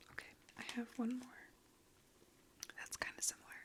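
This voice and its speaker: Someone whispers in a relaxed tone over noticeable background noise. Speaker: ASMR creator. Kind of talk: soft-spoken ASMR ramble to camera. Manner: soft-spoken, relaxed.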